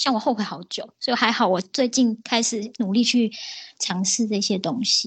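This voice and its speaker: Somewhat breathy female speech at a fairly high pitch. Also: ordinary pitch variation, moderate pace. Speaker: illustrator. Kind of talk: casual interview chat.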